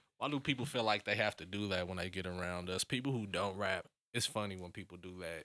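On a very clean recording with a silent background, a man speaks very fast. His voice is very deep, with a bright, sharp tone and ordinary pitch variation. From US Midwest. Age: 30s. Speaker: rapper. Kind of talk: casual chat.

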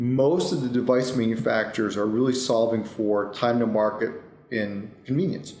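A man with an American accent talks at a moderate pace with ordinary pitch variation. Audible room echo surrounds his voice. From upstate New York. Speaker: cybersecurity executive. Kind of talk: interview. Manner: repetitive false starts.

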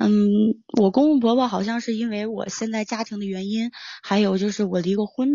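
A woman with a normal speaking voice, fairly high pitch, fairly even intonation and a fairly quick pace. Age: 20s. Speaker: caller. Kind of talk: personal account.

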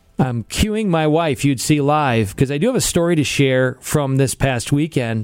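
A man with an American accent speaks at a moderate pace. His pitch is fairly high, with ordinary variation. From US Midwest. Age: 40s. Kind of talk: live radio talk show with prayer. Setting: studio.

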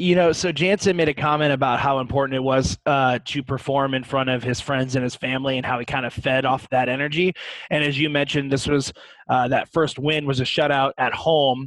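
Man with an American accent, a normal speaking voice, at a fairly quick pace. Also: fairly high pitch for a man, fairly even intonation. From US Midwest, St. Louis. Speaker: hockey podcast host. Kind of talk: casual chat.

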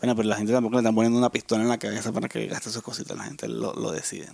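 Soft-spoken male speech at a very fast pace over noticeable background noise. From Venezuela. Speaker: podcast co-host. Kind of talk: casual chat. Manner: soft-spoken, low volume.

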